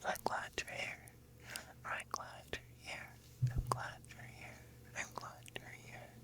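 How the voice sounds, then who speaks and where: Someone whispers at a very slow pace, leaving long, frequent pauses. Background noise is noticeable. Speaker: ASMR creator. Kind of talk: ASMR intro talk to viewer. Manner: soft-spoken.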